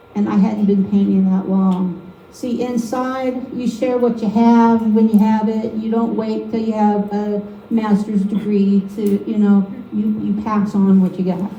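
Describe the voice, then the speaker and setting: Over noticeable background noise and audible room echo, a woman speaks at a fairly slow pace and medium pitch in a monotone, flat way. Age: 50s. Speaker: painting demonstrator. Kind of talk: live painting demonstration with personal testimony. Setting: art league meeting with live audience. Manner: casual, conversational.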